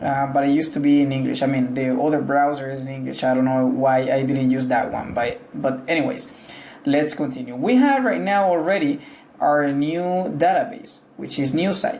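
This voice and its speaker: Noticeable background noise accompanies a speaker with a Spanish accent talking at a moderate pace. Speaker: tech tutorial creator. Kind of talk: tutorial. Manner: casual, hesitant with fillers.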